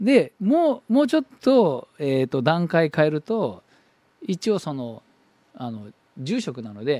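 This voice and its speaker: A man's fairly high-pitched voice with a dark, mellow tone, very wide pitch swings, and big swings in loudness, on a very clean recording with a silent background and a dry, close sound with no echo. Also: fairly slow pace. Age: 40s. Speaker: Buddhist priest and radio host. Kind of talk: casual talk show monologue.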